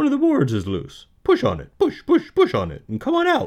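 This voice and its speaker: In a put-on character voice, the speaker keeps to a moderate pace. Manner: fast talking.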